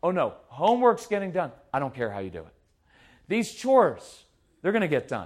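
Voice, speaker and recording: Speaking at a fairly quick pace in an animated tone, a man leaves long, frequent pauses, with big swings in loudness on a very clean recording with a silent background. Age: 50s. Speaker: parenting speaker. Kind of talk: live talk to audience.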